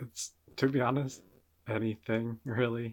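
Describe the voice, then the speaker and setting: Medium in pitch for a man, his voice comes through clearly. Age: 20s. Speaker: podcast co-host. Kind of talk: casual chat. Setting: video call.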